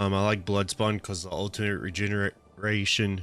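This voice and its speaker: This man's voice sits at a fairly low pitch. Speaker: gaming video creator. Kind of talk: game build tutorial. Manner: casual, many filler words.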